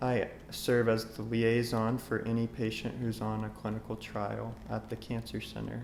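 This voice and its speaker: A man with an American accent, medium pitch, a fairly slow pace, and music in the background. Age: 20s. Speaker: oncology clinical research coordinator. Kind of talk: interview monologue. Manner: halting, many fillers.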